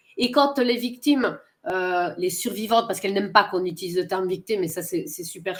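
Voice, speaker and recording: This woman speaks at a fairly quick pace. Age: 40s. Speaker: interviewer. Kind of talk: interview. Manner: halting.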